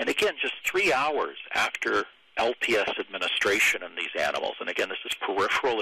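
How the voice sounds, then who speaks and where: At a moderate pace, someone with an American accent speaks over noticeable background noise. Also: man. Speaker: professor. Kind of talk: lecture. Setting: webinar. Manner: halting.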